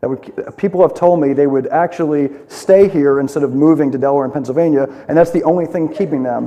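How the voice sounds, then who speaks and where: Talking very fast, a man with a fairly high voice keeps his intonation fairly even as noticeable background noise plays. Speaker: political candidate. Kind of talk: candidate forum answers.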